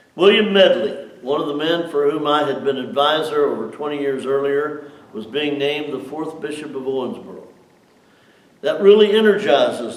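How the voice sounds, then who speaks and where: The man's fairly high voice, with ordinary pitch variation, moves at a moderate pace while noticeable noise fills the background. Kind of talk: reading aloud.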